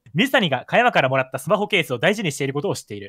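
A man's bright, sharp voice swings very widely in pitch, recorded very clean with a silent background and a dry, close sound with no echo. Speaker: gaming content creator. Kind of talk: casual chat during a murder mystery game, partly reading aloud.

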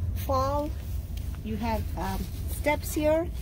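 Noticeable noise fills the background while a woman talks very slowly. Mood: relaxed, informative. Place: train. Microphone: phone near.

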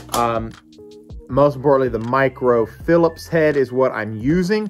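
A man's moderate-paced speech carries over faint music in the background. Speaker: fishing channel host. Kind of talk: tutorial. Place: garage. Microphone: phone near.

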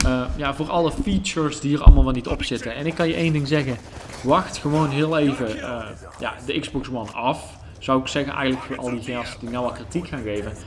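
Over noticeable background noise, a fairly high-pitched man speaks at a fairly quick pace. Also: ordinary pitch variation. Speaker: gaming YouTuber. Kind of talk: gameplay commentary. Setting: separate room at home. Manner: casual, hesitant with fillers. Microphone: possible echo or odd sound.

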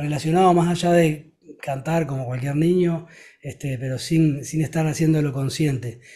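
This man's voice is fairly high in pitch, with a dark, mellow tone. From Uruguay. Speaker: rock singer and guitarist; guest. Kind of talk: interview. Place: home room. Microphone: studio mic.

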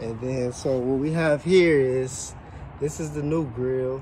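A man at a fairly slow pace, ordinary pitch variation, light background noise. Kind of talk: tutorial. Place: street. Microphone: phone near.

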